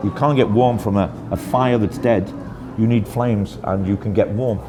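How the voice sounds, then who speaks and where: A man with a British accent talks at a moderate pace, with fairly low pitch and ordinary pitch variation. Audible room echo and noticeable background noise are present. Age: 60s. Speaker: interviewee. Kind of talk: casual interview. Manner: hesitant, repeats words.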